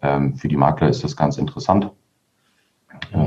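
In a very deep, low voice, a man talks at a fairly quick pace. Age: 30s. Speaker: mortgage broker, company founder. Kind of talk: interview.

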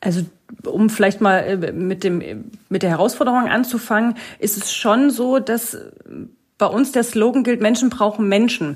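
A woman's somewhat breathy voice, fairly high in pitch, at a fairly slow pace. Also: ordinary pitch variation. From Lower Saxony, near Hanover. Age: 30s. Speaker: financial advisor. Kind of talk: casual interview. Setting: home office video call.

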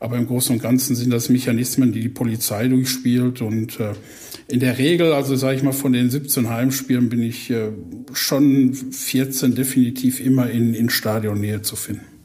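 Noticeable background noise sits behind a flat, monotone delivery at a moderate pace. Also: man, medium pitch for a man. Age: 40s. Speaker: football club fan liaison officer. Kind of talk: podcast interview.

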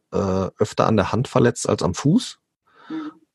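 A man's medium-pitched voice, with a dry, close sound and no echo. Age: 30s. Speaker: police officer and barefoot coach. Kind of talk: interview. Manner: hesitant, many fillers.

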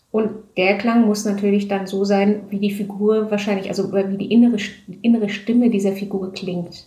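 In a room with audible echo, a woman with a dark, mellow tone and a somewhat breathy voice speaks at a moderate pace in a monotone, flat intonation. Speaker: audiobook and theatre director. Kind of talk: casual interview. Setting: at home, in her flat. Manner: hesitant, many filler sounds.

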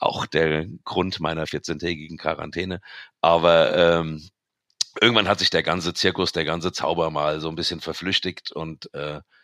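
Moderate pace, fairly even intonation, and a bright, sharp tone in a dry, close sound with no echo. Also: man. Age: 40s. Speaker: hairdresser and DJ. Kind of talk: casual chat. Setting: remote recording at home.

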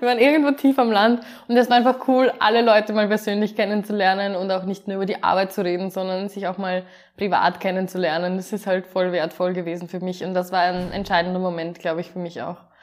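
Speaking very fast, a woman keeps a medium pitch with ordinary pitch variation. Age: 20s. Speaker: project manager. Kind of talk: interview.

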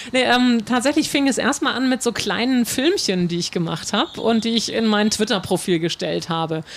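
The speaker's intonation is lively, with noticeable background noise behind the voice. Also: woman, fairly high pitch for a woman, moderate pace. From northern Germany, North Frisia. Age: 40s. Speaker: harbour tour guide. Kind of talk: interview. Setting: outdoors on a ship in the harbour.

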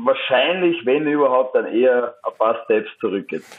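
Speaking at a moderate pace, a man with an unremarkable speaking voice sits fairly high in pitch and shows ordinary pitch variation. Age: 30s. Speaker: professional footballer. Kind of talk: interview. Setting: phone call.

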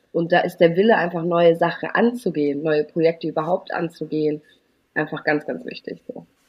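Speaking at a fairly quick pace, a woman keeps her fairly low voice in fairly even intonation. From Germany, Eritrean family. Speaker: campaign strategist. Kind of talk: interview.

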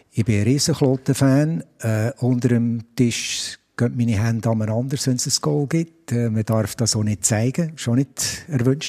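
On a very clean recording with a silent background, a man speaks at a fairly slow pace. His tone is dark and mellow, with a medium pitch and ordinary pitch variation. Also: dry, close sound with no echo. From Switzerland, Biel. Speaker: stadium announcer. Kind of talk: interview. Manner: hesitant, many fillers.

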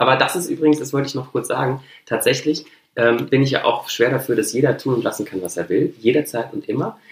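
A man talks at a very fast pace and a medium pitch. Vocal fry runs through his voice. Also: ordinary pitch variation. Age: 30s. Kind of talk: casual chat.

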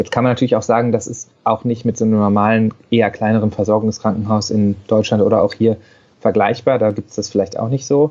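With a dark, mellow tone and medium pitch, a man talks at a very fast pace in a monotone, flat intonation. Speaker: paediatrician. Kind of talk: interview.

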